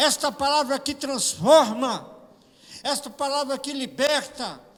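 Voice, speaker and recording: At a fairly slow pace, a man speaks with an extremely high pitch and ordinary pitch variation. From Brazil, São Paulo. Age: 60s. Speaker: pastor. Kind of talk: sermon. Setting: church.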